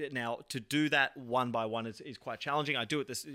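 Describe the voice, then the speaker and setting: In a very clean recording with a silent background, a man with an Australian accent speaks in a bright, sharp tone with fairly even intonation. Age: 30s. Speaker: entrepreneur. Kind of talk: interview. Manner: fast talker.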